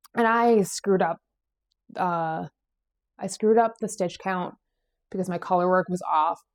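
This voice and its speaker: Using a New England accent, a woman at a medium pitch speaks at a moderate pace with fairly even intonation and long, frequent pauses, the sound dry and close with no echo in a very clean recording with a silent background. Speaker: knitting podcast host. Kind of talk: casual chat. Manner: casual with frequent fillers.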